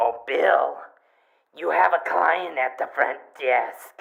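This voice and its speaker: In a raspy, put-on character voice at a medium pitch, a man speaks at a very slow pace with lively intonation. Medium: comedy sketch. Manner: sweet, sugary, unflappable.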